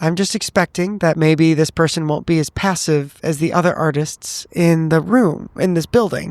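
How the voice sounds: A man's fairly high voice at a moderate pace, slightly mellow in tone with ordinary pitch variation, dry and close with no echo, on a very clean recording with a silent background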